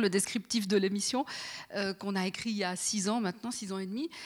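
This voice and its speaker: Her voice is an unremarkable speaking voice. The woman talks at a fairly quick pace with ordinary pitch variation. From Fribourg, Switzerland. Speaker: radio journalist. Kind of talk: panel talk with host. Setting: stage with audience.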